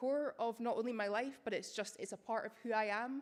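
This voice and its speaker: Her intonation fairly even, a woman speaks at a fairly quick pace. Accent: Scottish. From Scotland, Edinburgh. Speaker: academic writer and researcher. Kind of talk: public lecture.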